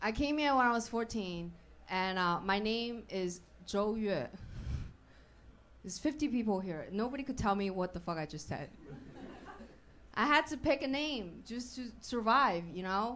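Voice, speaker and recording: A woman's fairly high voice in a Chinese accent, moderate in pace and lively in intonation, with long, frequent pauses and audible room echo. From China. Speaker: stand-up comedian. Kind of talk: stand-up. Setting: stage with audience.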